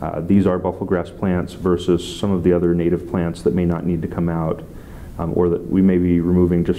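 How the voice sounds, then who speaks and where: Over light background noise, a man talks at a fairly quick pace in a very deep, low, monotone voice. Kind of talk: interview answer. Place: office.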